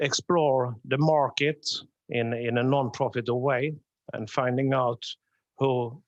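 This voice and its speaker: A man with a southern Swedish accent speaks against a quiet background. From southern Sweden. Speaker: security architect, conference speaker. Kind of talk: conference presentation.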